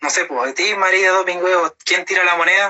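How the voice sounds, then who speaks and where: The voice belongs to a man. It is high in pitch. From southern Chile, Puerto Montt. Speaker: Mapuche language teacher and engineering student. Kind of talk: interview.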